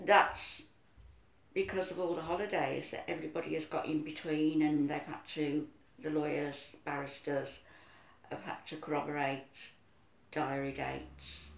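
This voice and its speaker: A woman at a moderate pace, with long, frequent pauses and audible room echo. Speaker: video diarist. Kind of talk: casual vlog chat. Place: home room. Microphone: phone near.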